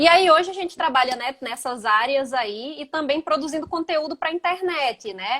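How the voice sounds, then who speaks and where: A woman with a southern Brazilian accent speaks at a high pitch with a bright, sharp tone. The sound is dry and close with no echo. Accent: gaúcho (southern Brazilian). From Brazil, Northeast (Rio Grande do Norte). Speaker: physical education teacher. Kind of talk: casual interview chat. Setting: Instagram live video.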